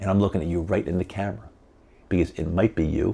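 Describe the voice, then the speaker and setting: Speaking at a fairly quick pace, a man uses a very deep, low pitch with vocal fry. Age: 70s. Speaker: podcast host. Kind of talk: monologue to camera. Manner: halting, repetitive; emphatic.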